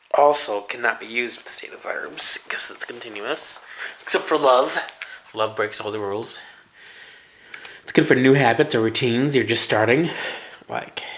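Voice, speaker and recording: A man with a medium pitch and ordinary pitch variation speaks at a moderate pace, leaving long, frequent pauses, against noticeable background noise. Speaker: English teacher. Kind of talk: grammar lesson. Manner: casual.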